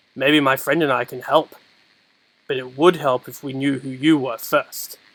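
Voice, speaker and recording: A gruff, put-on character voice at a moderate pace. The intonation stays flat and monotone. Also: man, medium pitch for a man. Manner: soothing.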